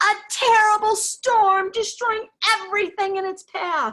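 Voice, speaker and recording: A put-on character voice delivers the lines at a fairly slow pace. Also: woman, extremely high pitch for a woman. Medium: read story. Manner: warm, encouraging.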